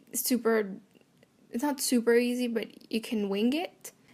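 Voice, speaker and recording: A woman with a Spanish accent speaks at a fairly high pitch and a moderate pace. Her intonation stays fairly even. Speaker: art channel creator. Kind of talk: tutorial voiceover. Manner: casual, hesitant with fillers.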